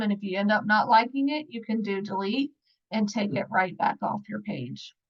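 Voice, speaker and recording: The voice is somewhat breathy, with an American accent, over a quiet background. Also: woman. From Virginia, US South. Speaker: scrapbooking product advisor; online scrapbooking demonstrator. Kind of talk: tutorial. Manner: casual, conversational. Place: home room. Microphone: webcam.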